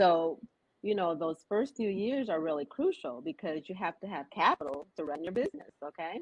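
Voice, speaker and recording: A loud woman speaks at a moderate pace in an American accent, her medium pitch moving through very wide swings. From US West Coast. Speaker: business coach. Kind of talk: interview. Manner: animated.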